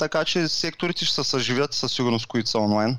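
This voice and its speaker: At a moderate pace and a medium pitch, a man talks in a plain, everyday voice. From Bulgaria, Varna. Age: 30s. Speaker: professional poker player and online seller. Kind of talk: interview.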